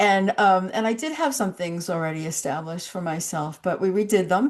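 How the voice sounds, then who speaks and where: Lively intonation comes through at a moderate pace over noticeable background noise. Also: woman, medium pitch for a woman. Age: 70s. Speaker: online show host. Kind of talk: interview. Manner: halting.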